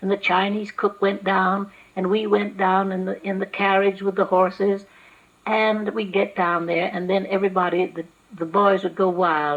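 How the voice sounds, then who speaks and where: With noticeable background noise behind her, a woman speaks at a moderate pace and medium pitch in a monotone, flat intonation. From Los Angeles. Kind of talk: oral history interview.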